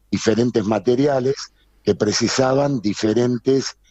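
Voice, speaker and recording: A man talks at a moderate pace in a normal speaking voice. His pitch sits in the medium range. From Argentina, Buenos Aires. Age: 60s. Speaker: textile business owner. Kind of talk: interview.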